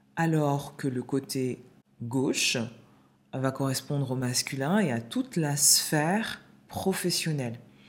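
A woman's very deep, low voice at a very slow pace, with long, frequent pauses, very even loudness, and ordinary pitch variation. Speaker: podcast host and holistic coach. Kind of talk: solo podcast monologue. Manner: voice trembling while sharing personal story.

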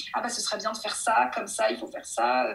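A woman talks at a fairly quick pace. There is audible room echo. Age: 30s. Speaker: speech therapist. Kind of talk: interview. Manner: hesitant, many fillers.

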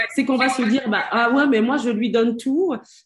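Over a quiet background, a woman with a fairly high pitch talks in a normal speaking voice, with ordinary pitch variation and a moderate pace. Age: 40s. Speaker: self-care coach. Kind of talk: casual chat. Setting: live stream.

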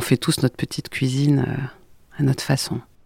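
A woman speaks in a calm tone with a very deep, low pitch. The sound is dry and close, with no echo. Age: 40s. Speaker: therapist. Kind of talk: testimony.

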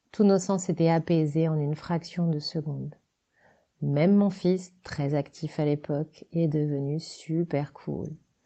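A woman's very deep, low voice at a very slow pace, her intonation fairly even. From France, Loiret / Sologne. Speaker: decorator and set designer. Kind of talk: reading aloud.

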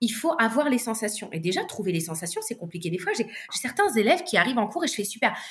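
Somewhat breathy and fairly high, a woman's voice moves at a fairly quick pace with very wide pitch swings. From southern France, La Ciotat. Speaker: singer and vocal coach. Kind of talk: casual interview chat.

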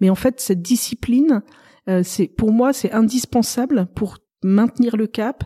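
A woman's somewhat breathy voice, fairly high in pitch with a dark, mellow tone, at a fairly slow pace with ordinary pitch variation, in a dry, close sound with no echo. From Paris, France. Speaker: novelist. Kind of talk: interview.

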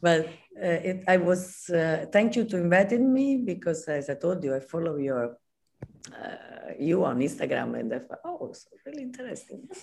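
Speaking at a moderate pace with an Italian accent, a woman with a fairly low voice shows very wide pitch swings and big swings in loudness. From Italy, Naples. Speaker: costume designer. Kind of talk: interview. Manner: halting.

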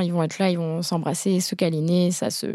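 A woman with an ordinary speaking voice talks at a moderate pace and a fairly low pitch. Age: 20s. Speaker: photographer. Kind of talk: casual chat.

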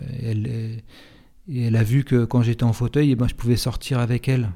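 A man speaks with a dark, mellow tone. His intonation stays monotone and flat. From Paris suburbs, France. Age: 40s. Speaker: person living with multiple sclerosis. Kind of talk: testimony. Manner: halting.

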